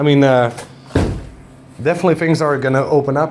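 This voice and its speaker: The intonation stays fairly even. Audible room echo and noticeable background noise are present. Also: man. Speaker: car tuning YouTuber. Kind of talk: casual vlog talk to camera. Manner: halting, stuttering over words.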